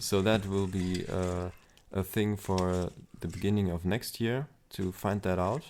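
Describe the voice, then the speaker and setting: With a German accent and a very deep, low pitch, a man talks at a fairly slow pace with fairly even intonation on a very clean recording with a silent background. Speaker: aspiring novelist and vlogger. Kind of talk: casual vlog monologue. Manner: hesitant, many fillers.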